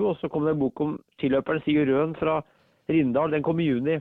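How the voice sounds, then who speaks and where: This man's fairly high voice keeps a fairly even intonation and moves at a moderate pace. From Norway, Ringsaker (Hedmark). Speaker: author. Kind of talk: casual interview. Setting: phone call. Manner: halting.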